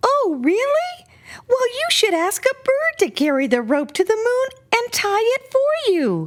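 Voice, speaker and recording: In a put-on character voice, a squeaky, extremely high-pitched speaker moves at a fairly slow pace with very wide pitch swings. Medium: read story.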